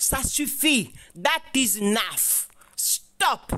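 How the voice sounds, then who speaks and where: A woman's high-pitched voice with lively intonation, on a very clean recording with a silent background. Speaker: activist and video commentator. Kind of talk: angry rant. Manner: indignant, scolding, fiery.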